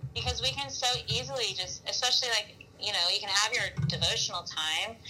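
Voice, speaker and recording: At a moderate pace, a woman speaks in an Alabama accent. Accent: Southern US (Alabama). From US South, Mobile, Alabama. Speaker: worship leader and pastor. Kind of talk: casual interview. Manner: animated.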